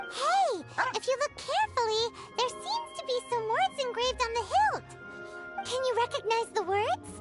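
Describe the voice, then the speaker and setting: Clear music plays behind a squeaky, put-on character voice at an extremely high pitch. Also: moderate pace. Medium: machinima. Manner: earnest.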